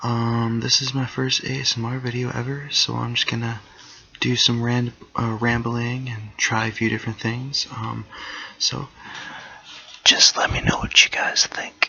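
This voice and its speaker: A man whispers at a fairly slow pace. Noticeable background noise can be heard. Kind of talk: ASMR whispering and rambling. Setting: laptop microphone. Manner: whispered.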